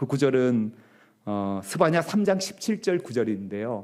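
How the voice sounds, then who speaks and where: A man talks at a fairly slow pace in a dark, mellow tone, his pitch swinging very widely. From rural Korea, non-Seoul dialect region. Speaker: pastor. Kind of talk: sermon. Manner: frequent filler hesitations.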